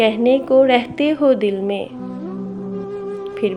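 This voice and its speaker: Music in the background beneath a fairly high-pitched woman. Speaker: voice-over artist. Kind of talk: poetry reading. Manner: suspenseful, emotional.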